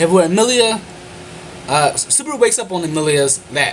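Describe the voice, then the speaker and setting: Noticeable background noise runs behind a man whose pitch swings very widely as he speaks very fast. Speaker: anime reviewer. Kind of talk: video review monologue.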